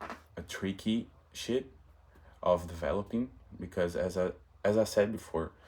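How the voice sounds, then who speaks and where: With a Portuguese accent, a man speaks at a fairly slow pace. His pitch is fairly low and his intonation fairly even. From Brazil. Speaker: vlogger. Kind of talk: casual monologue vlog. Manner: halting, self-correcting.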